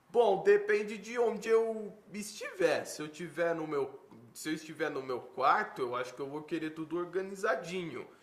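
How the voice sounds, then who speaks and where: Noticeable background noise sits behind a man whose high-pitched voice shows big swings in loudness. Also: lively intonation. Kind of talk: interview. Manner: slow, paused speech; stutters when nervous.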